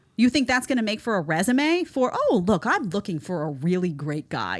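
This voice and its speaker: A woman speaks in a strong New York accent with an animated tone at a moderate pace. The recording is very clean, with a silent background. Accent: thick New York. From New York City. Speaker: online show host, commentator. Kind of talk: reaction commentary livestream.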